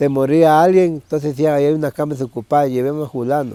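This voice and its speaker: This man speaks at a fairly high pitch. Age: 60s. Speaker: churchgoer giving testimony. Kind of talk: testimony. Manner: halting.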